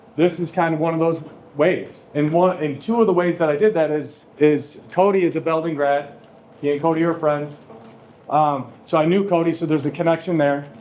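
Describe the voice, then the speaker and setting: Audible room echo surrounds a man with a fairly high pitch. He speaks at a fairly quick pace with fairly even intonation. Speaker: high school teacher. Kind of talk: classroom talk introducing a guest speaker. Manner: monotone.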